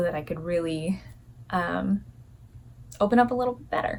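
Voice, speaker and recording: A soft-spoken woman talks at a fairly quick pace. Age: 30s. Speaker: lifestyle vlogger. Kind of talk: casual vlog talk to camera.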